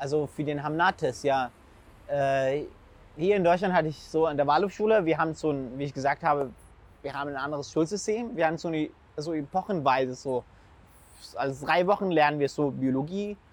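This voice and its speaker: A man with an Arabic accent speaks at a fairly quick pace, his pitch fairly high and its variation ordinary. He leaves long pauses, and they come often. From Syria. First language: Arabic (speaking German). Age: 20s. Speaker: food blogger and school student. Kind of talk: casual interview. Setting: outdoors in city. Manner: halting.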